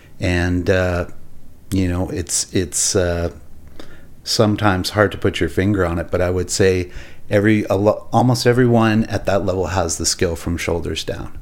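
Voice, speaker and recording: Speaking with a Canadian accent, a man uses a very deep, low pitch and fairly even intonation at a moderate pace. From Alberta, Canada. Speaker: architect and restaurateur. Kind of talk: casual chat. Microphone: too far from mic.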